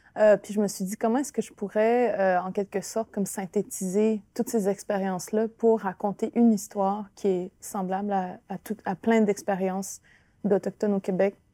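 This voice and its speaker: In a very clean recording with a silent background and a dry, close sound with no echo, a woman at medium pitch speaks at a moderate pace in a dark, mellow tone with monotone, flat intonation. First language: Innu (speaking French). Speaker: author and actress. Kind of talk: interview. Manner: halting, many repetitions.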